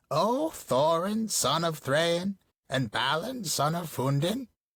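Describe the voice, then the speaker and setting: At a fairly slow pace, a croaky put-on character voice speaks at a middle pitch. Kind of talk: formal, archaic address. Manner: formal, declarative.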